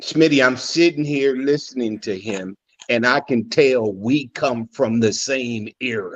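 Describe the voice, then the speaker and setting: Here a man speaks at medium pitch with ordinary pitch variation. He has an unremarkable speaking voice and a fairly slow pace. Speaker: father in a discussion panel. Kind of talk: casual chat. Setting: live stream.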